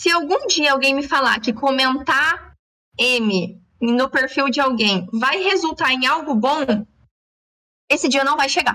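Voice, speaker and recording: A woman with a high pitch uses a raised, projected voice with lively intonation and very even loudness. She goes at a fairly slow pace, with long, frequent pauses. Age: young. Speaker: podcast host. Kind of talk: casual chat.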